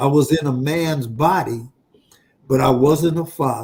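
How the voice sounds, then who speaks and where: A man's somewhat breathy voice, fairly high in pitch, at a very slow pace. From Los Angeles, California (Watts). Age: 60s. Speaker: chaplain. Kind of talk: interview. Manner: animated.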